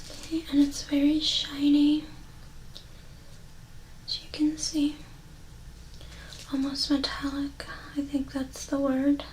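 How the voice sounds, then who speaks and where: Soft-spoken and high-pitched, a woman talks at a very slow pace in a monotone, flat intonation, with long, frequent pauses, big swings in loudness and noticeable background noise. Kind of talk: ASMR mindfulness exercise, soft-spoken talk to camera. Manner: soft-spoken, slow, calming.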